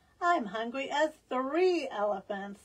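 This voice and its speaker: Putting on a character voice, a woman speaks at a high pitch with very wide pitch swings and a fairly slow pace. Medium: read story.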